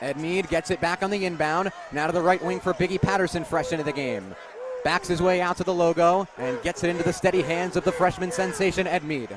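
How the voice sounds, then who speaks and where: Energetic in tone, a man with a high pitch talks at a very fast pace over noticeable background noise. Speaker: sports broadcaster. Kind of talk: radio basketball play-by-play. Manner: fast, energetic.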